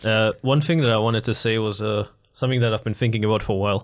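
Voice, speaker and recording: A man talks at a very fast pace with very even loudness and fairly even intonation, broken by long, frequent pauses. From Germany. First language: German. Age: 20s. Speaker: YouTuber, podcast co-host. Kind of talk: casual chat.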